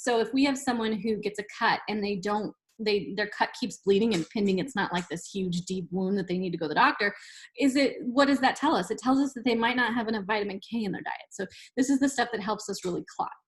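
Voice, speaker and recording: At a very fast pace, a woman with a fairly high, somewhat breathy voice speaks with ordinary pitch variation. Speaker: college nutrition instructor. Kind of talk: lecture. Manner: casual, conversational.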